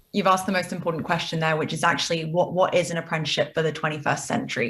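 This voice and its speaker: A woman with a British accent and a fairly low pitch, talking at a very fast pace with fairly even intonation. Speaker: business executive. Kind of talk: TV interview.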